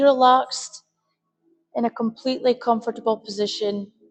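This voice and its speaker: An unremarkable speaking voice from a woman, pitch varying in an ordinary way. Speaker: meditation guide. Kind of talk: guided meditation. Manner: slow, soft-spoken.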